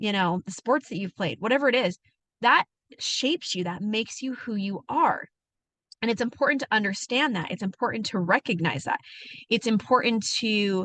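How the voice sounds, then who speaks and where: A woman's animated voice, bright and sharp in tone, moves at a fairly quick pace with a dry, close sound, no echo and a quiet background. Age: adult. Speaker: wellness coach. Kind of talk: motivational talk. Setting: in a parked truck. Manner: fast.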